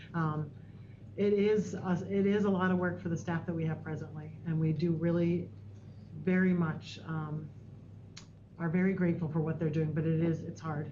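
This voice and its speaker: At a moderate pace and a fairly low pitch, a woman speaks with long, frequent pauses and audible room echo. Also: ordinary pitch variation. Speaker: school district administrator. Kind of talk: board meeting report. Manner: soft-spoken.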